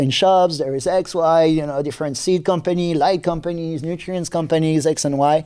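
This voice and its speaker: A man talks at a fairly quick pace in a French accent. His tone is dark and mellow. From New Caledonia. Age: 30s. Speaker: seed company technical manager. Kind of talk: podcast interview. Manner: halting.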